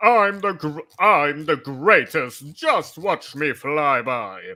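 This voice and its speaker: A man speaks loudly in a put-on character voice at a fairly high pitch and a very slow pace. The recording is very clean, with a silent background. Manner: boastful.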